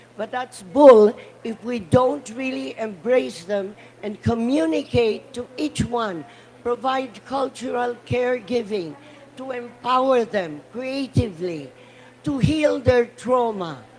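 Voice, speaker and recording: A woman talks very slowly at a fairly high pitch, with lively intonation and big swings in loudness. Background noise is noticeable. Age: 80s+. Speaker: panel speaker, cultural advocate. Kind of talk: conference speech. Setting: conference side event panel. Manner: impassioned.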